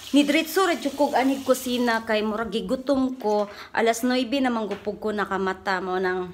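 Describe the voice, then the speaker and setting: A woman speaks at a moderate pace with hardly any pauses. Her fairly high pitch has ordinary variation, and there is light background noise. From Philippines. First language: Cebuano (speaking Tagalog). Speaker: vlogger, overseas worker; vlogger. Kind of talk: casual cooking vlog. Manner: casual, chatty. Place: kitchen. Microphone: phone near.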